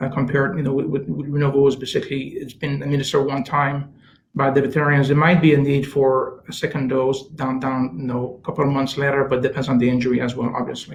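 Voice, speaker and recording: At a very fast pace, a man speaks in a monotone, flat intonation. His voice is fairly high in pitch and somewhat breathy. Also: hardly any pauses. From Canada. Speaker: chief science officer, scientist. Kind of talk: interview answer.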